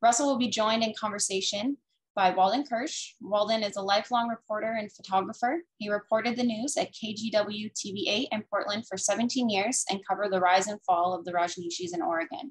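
A somewhat breathy woman with a fairly high pitch speaks at a fairly quick pace with ordinary pitch variation and hardly any pauses, against a quiet background. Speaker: bookstore event host. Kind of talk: scripted introduction. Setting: video call. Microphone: webcam.

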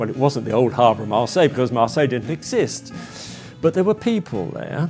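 A man with an English accent, medium pitch and lively intonation, over clear music in the background. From England. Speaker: marine painter. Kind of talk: interview answer. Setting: painting studio. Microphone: lapel.

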